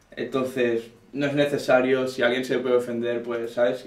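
A man speaks in a monotone, flat intonation at a moderate pace amid audible room echo. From Catalonia, Terrassa. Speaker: rapper. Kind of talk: casual chat. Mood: relaxed, explanatory. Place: studio. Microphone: camera far.

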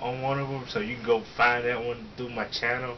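Light background noise can be heard as a man speaks. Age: 20s. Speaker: fitness youtuber. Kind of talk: casual Q&A chat. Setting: home video recording. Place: home room. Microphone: webcam.

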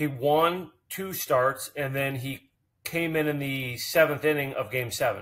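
A man talks at a medium pitch, with ordinary pitch variation and a fairly bright tone. His pace is fairly slow.

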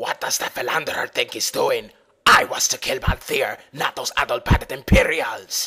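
Raspy and put-on, this is a man doing a character voice. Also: moderate pace. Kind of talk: fan dub voice acting. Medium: game stream. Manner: menacing, sneering, gruff.

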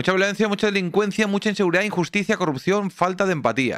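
Against a quiet background, a man speaks in an animated tone. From Spain, Catalonia (small town near Barcelona). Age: 30s. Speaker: streamer. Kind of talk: live stream commentary reacting to news video. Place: home room. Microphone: studio mic.

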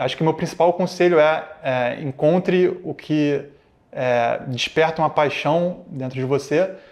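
A man is speaking. His pitch moves with ordinary variation. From Rio de Janeiro, Brazil. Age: 30s. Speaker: tech executive and alumnus. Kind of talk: interview testimony. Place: studio. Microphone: lapel.

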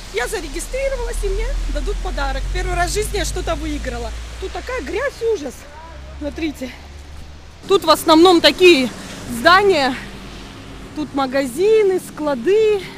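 A woman talks at an extremely high pitch and a moderate pace with long, frequent pauses, in a dry sound with no echo and light background noise. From Sukhum, Abkhazia. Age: 30s. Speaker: mother and family vlogger. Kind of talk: casual vlog talk to camera. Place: street. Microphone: phone near.

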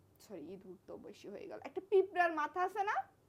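A woman's animated tone against noticeable background noise. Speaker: vlogger in couple skit. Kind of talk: heated couple argument.

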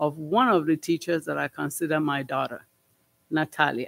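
A man with a non-native accent talks at a moderate pace in a fairly high pitch with ordinary variation. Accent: foreign. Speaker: school board trustee. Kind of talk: board meeting report. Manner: halting, many fillers. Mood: heartfelt, grateful. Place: meeting room. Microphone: podium.

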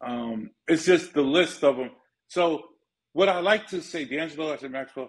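A man with a New York accent speaks at a moderate pace and a fairly high pitch, with ordinary pitch variation. His loudness swings widely, and he leaves long, frequent pauses. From Bronx, New York. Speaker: music manager; interview guest. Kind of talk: casual interview. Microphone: phone near.

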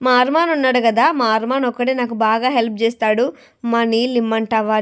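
A woman speaks in a normal speaking voice with a fairly high pitch. Her intonation stays fairly even. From Andhra Pradesh, Rayalaseema (Kadapa district). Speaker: vlogger and saree seller. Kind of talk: casual vlog talk to camera.

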